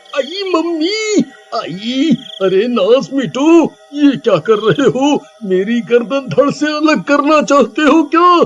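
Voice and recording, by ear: In a put-on character voice, a man speaks slowly at an extremely high pitch, swinging his pitch widely and pausing little.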